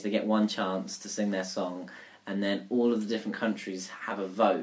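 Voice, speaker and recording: A man with a southern English accent speaks at a moderate pace in a fairly low voice. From southern England, Surrey. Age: 20s. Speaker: recent graduate. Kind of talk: casual chat.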